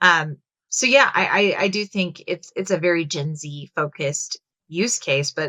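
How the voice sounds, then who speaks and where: Bright and sharp in tone, a woman with an American accent speaks at a fairly low pitch in a dry, close sound with no echo. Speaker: HR technology executive. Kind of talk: webinar discussion.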